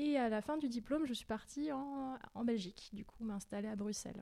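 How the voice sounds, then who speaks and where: A woman speaks at a fairly slow pace with a dark, mellow tone. Her pitch variation is ordinary. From Paris suburbs, Val-de-Marne. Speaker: longboard dancing instructor. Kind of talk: casual interview. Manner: hesitant, many fillers and repetitions.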